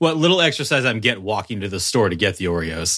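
Speaking at a fairly quick pace, a man uses a very deep, low pitch with lively intonation. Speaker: podcast co-host. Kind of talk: casual chat. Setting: at home, dog in background. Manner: animated, lots of filler words.

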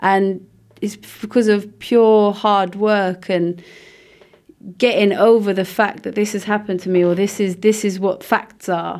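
The speaker goes at a fairly slow pace. The intonation stays flat and monotone. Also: woman, medium pitch for a woman. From Luxembourg. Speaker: dancer and choreographer. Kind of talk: interview. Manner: hesitant, many fillers.

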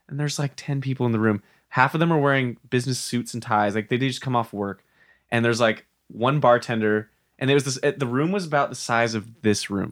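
A normal speaking voice from a man with an American accent, medium in pitch, fairly quick, with ordinary pitch variation. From US Pacific Northwest (Spokane, Washington). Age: 20s. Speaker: DJ and music producer. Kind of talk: casual chat. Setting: studio.

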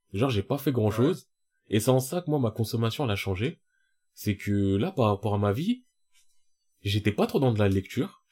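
A man's medium-pitched, somewhat breathy voice with a dark, mellow tone, lively intonation and very even loudness, at a moderate pace with long, frequent pauses, on a very clean recording with a silent background. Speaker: podcast co-host. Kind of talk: casual chat. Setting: studio. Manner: talkative, rambling.

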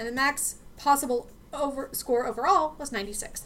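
An American-accented woman with a high pitch. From US, Pittsburgh. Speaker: podcast host. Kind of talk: history podcast chat with scripted research reading.

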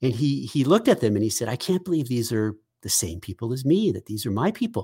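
On a very clean recording with a silent background, a man with an American accent and medium pitch speaks at a moderate pace. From Massachusetts. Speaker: podcast host. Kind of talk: casual conversation. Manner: hesitant, filler-heavy, restarts.

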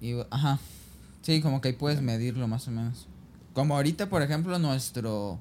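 A man speaks at a fairly quick pace with ordinary pitch variation. His is an unremarkable speaking voice. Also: medium pitch for a man. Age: 20s. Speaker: podcast guest. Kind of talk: casual chat.

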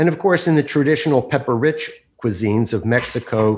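Here is a man with an American accent and an ordinary speaking voice. He talks at a moderate pace with lively intonation. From New Jersey, Bergen County. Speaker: chef and author. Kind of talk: talk and Q&A. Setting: video call.

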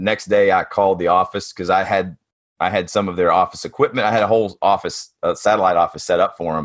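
In a Tennessee accent, a man talks at a fairly quick pace against a quiet background. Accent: Southern US (Tennessee). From East Tennessee. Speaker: construction business coach. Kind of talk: interview.

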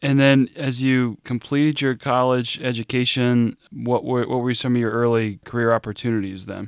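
A man's normal speaking voice, medium in pitch, at a moderate pace with hardly any pauses, in a dry, close sound with no echo. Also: fairly even intonation. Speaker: podcast host. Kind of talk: interview, hosting a podcast. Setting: remote interview.

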